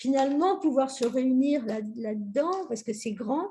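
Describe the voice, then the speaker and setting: A woman's dark, mellow tone with lively intonation at a fairly slow pace. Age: 70s. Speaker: workshop participant. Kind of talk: casual group chat.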